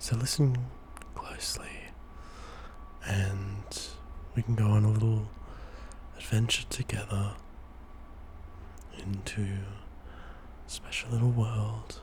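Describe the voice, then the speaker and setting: A soft-spoken man whispers at a very slow pace with long, frequent pauses over noticeable background noise. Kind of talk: ASMR bedtime story. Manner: whispered, soft-spoken.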